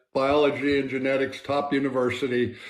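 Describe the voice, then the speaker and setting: A man's medium-pitched voice at a moderate pace, flat and monotone, with audible room echo. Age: 60s. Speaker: scientist. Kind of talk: interview. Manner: halting.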